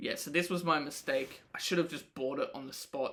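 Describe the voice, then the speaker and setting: With an Australian accent, a man talks at a fairly quick pace in a bright, sharp tone with ordinary pitch variation. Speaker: podcaster and rapper. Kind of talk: audio diary. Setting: home, late at night. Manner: casual.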